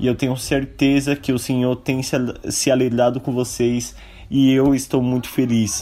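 With a dark, mellow tone and medium pitch, a man speaks at a moderate pace in a monotone, flat intonation and very even loudness. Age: 20s. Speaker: listener and volleyball player. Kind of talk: testimony.

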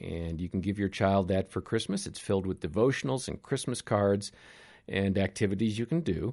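This man has a normal speaking voice, fairly low in pitch, with ordinary pitch variation. The background is quiet. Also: moderate pace. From Wisconsin. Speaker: podcast host. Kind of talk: podcast interview and outro.

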